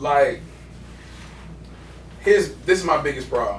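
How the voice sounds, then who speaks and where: A man with an American accent talks at a moderate pace amid noticeable background noise and audible room echo. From Atlanta, Georgia, US South. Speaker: podcast co-host. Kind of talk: casual chat.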